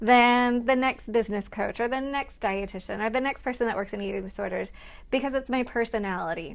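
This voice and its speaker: Speaking at a fairly quick pace, a woman with a fairly high pitch sounds animated, her pitch varying in an ordinary way, in a very clean recording with a silent background. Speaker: registered dietitian and business coach. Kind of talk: live stream talk to viewers. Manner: fast.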